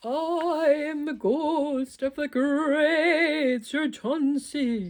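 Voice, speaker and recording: A shaky, high-pitched put-on character voice moves at a very slow pace. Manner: spooky.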